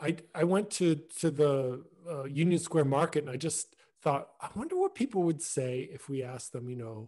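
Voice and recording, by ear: A man talks at a moderate pace with big pitch swings. His fairly high voice has a slightly mellow tone.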